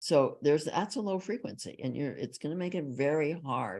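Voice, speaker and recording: Vocal fry runs through a fairly slow delivery with very wide pitch swings, captured in a very clean recording with a silent background. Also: woman. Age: 80s+. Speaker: psychologist and author. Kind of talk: interview.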